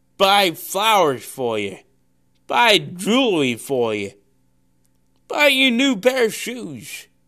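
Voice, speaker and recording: In a very clean recording with a silent background, a man speaks in a raised, projected voice at a very slow pace, his high pitch bright and sharp, with very wide pitch swings and long, frequent pauses. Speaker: preacher. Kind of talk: sermon; pep talk. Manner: forceful, repeats lines for emphasis; hesitant, with many filler sounds.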